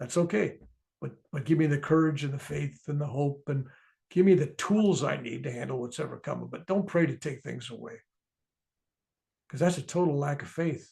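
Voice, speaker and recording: Speaking with an American accent at a moderate pace, a man has a fairly high pitch, a dark, mellow tone, a somewhat breathy quality, and big swings in loudness. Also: ordinary pitch variation. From US. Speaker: author and spiritual speaker. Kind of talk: interview about his book.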